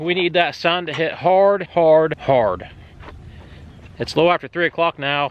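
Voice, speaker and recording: A man with an American accent and a high pitch speaks at a moderate pace with ordinary pitch variation. He leaves long, frequent pauses. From southern Ohio. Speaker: sawmill and excavation channel host. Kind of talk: casual vlog talk.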